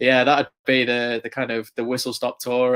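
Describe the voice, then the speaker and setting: In an English accent, a man at medium pitch speaks at a fairly quick pace. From England, near Chester. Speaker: motorsport journalist. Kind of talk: podcast interview.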